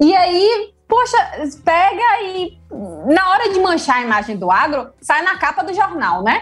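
Over music in the background, a woman talks at a fairly slow pace, her extremely high pitch moving in very wide swings. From Salvador, Bahia, Brazil. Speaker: animal scientist and doctoral student. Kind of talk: casual interview.

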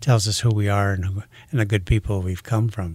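A man with an American accent and a fairly low pitch talks at a fairly quick pace, somewhat breathy, with fairly even intonation, in a very clean recording with a silent background. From US Midwest, Sioux Falls, South Dakota. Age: 70s. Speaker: retiring shop owner. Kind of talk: radio interview. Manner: halting, many repetitions.

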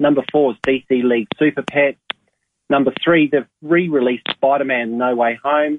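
The speaker has an Australian accent and a moderate pace. Intonation is fairly even, and loudness is very even. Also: man, fairly high pitch for a man. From Adelaide, Australia. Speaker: cinema manager. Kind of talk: casual radio chat, movie segment. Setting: phone call.

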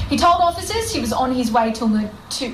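A high-pitched woman's voice with an Australian accent and ordinary pitch variation, plus audible room echo and noticeable background noise. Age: 30s. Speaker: breakfast radio co-host. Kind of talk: casual chat; news reading.

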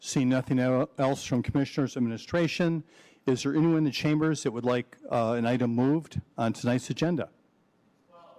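A man talks at medium pitch and a fairly quick pace in a dark, mellow tone. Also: fairly even intonation. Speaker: mayor chairing city commission. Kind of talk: formal public meeting. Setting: city commission chambers.

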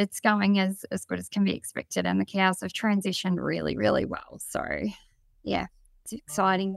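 A woman with an Australian accent, speaking at a moderate pace. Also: dry, close sound with no echo. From Victoria, Australia. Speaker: dairy farmer. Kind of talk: webinar interview. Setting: video call webinar.

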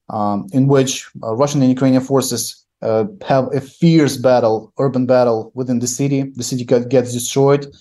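A man's dark, mellow tone at medium pitch, fairly even intonation, a moderate pace and hardly any pauses. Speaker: journalist. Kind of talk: remote news interview analysis. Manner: halting, hesitant with fillers.

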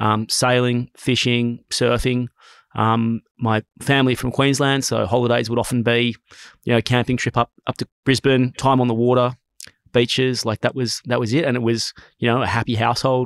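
Delivered at a moderate pace in a monotone, flat intonation, this voice has an Australian accent and a dry, close sound with no echo. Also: man, medium pitch for a man. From Sydney, Australia. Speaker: company co-founder. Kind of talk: interview.

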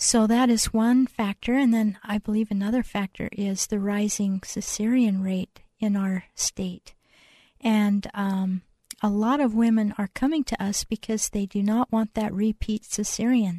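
A woman's fairly high, somewhat breathy voice with a dark, mellow tone, fairly even intonation and a fairly slow pace, dry and close with no echo over a quiet background. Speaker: midwife and birth center owner. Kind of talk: radio interview. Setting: studio. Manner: calm, soothing.

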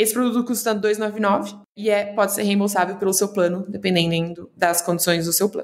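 A normal speaking voice from a woman, medium in pitch, fairly even intonation, moderate pace. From Brazil, São Paulo and interior of Paraná. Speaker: startup founder. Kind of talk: interview.

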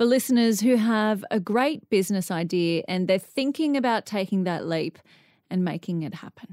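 A woman speaks with an Australian accent at a medium pitch. Her intonation is lively, and the sound is dry and close with no echo. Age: 30s. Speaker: podcast host. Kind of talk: interview; scripted narration.

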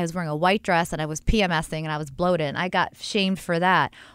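Recorded very cleanly against a silent background, a woman with a fairly low pitch and an unremarkable speaking voice shows ordinary pitch variation. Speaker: podcast host and cosmetic dermatologist. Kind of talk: casual interview. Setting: studio.

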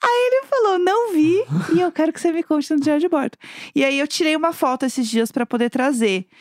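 Very wide pitch swings at a fairly quick pace, dry and close with no echo. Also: woman, very clean recording, silent background. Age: 30s. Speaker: podcast co-host. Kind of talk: casual chat.

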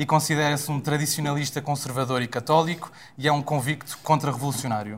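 A man speaks at a fairly quick pace in a somewhat breathy, fairly high voice with fairly even intonation, on a very clean recording with a silent background. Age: 20s. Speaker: podcast host. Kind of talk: show introduction and moderation.

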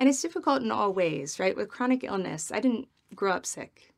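A woman speaks at a moderate pace with an American accent. Her fairly high voice makes very wide pitch swings. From US Midwest. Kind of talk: interview.

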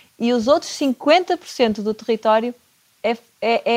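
The recording gives a dry, close sound with no echo as a woman speaks at a fairly high pitch. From Portugal, Porto. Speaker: chef and nutrition consultant. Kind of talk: casual interview.

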